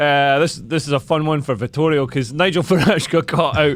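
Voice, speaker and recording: With a south-west Scottish accent, a man speaks at a fairly high pitch and a moderate pace. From Scotland, Dumfries. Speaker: comedian and podcast host. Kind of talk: casual chat.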